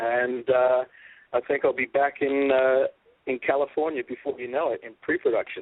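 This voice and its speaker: A man speaks with an Australian accent. He keeps a moderate pace. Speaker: documentary filmmaker. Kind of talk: casual interview. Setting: radio show. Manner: loud.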